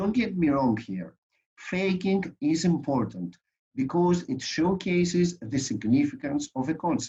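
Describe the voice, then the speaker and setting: Speaking at a fairly slow pace in a Greek accent, a man uses a fairly high pitch with very wide pitch swings. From Greece. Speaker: lawyer and conference speaker. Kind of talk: conference presentation. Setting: online conference.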